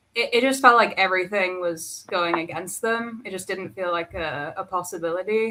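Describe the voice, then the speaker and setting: A woman speaks with an English accent at a medium pitch. Her pace is moderate and her pitch variation ordinary. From England. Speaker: artist guest. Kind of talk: casual chat.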